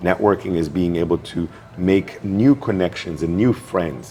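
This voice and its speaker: Moderate pace and ordinary pitch variation, with a non-native accent. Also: man. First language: not English. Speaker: networking expert and speaker. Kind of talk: interview.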